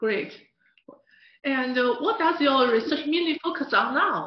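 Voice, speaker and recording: Someone with a Mandarin accent speaks at a moderate pace with long, frequent pauses. Room echo is audible. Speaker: interview host. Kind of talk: scripted narration and interview. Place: studio.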